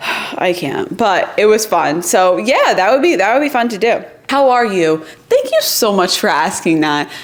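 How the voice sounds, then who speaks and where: Amid noticeable background noise, a woman with a fairly high pitch speaks at a moderate pace in an animated tone with very wide pitch swings. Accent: American. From New York. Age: 20s. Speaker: YouTuber. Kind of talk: casual Q&A chat to camera.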